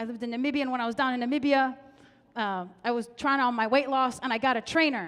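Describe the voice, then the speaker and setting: A high-pitched woman in an animated tone at a fairly quick pace. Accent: American. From US (Palestinian American). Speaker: comedian. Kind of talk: stand-up.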